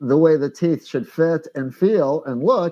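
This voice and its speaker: Lively intonation and fairly high pitch in a man's plain, everyday voice. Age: 60s. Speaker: denture professional and product inventor. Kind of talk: interview answers.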